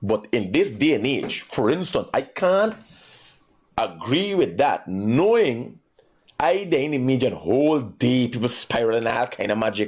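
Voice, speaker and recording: A man with a Guyanese accent speaks at a moderate pace. His pitch swings very widely while his loudness stays very even. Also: medium pitch for a man. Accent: Guyanese Creole English. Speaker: radio call-in show host. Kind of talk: call-in talk show. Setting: studio.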